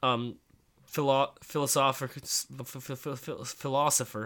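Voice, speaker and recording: A man with a fairly high pitch and ordinary pitch variation has an unremarkable speaking voice. The recording is very clean with a silent background. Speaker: podcast co-host. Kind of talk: casual chat.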